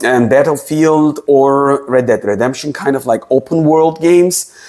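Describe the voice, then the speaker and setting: A man talks at a moderate pace in a dark, mellow tone over a quiet background. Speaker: tech reviewer. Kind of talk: tutorial. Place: home room. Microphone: lapel.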